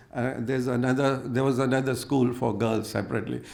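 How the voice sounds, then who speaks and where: A man speaks with an Indian accent. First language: Hindi. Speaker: conference speaker. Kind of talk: personal anecdote in a panel talk. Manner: halting, with many fillers.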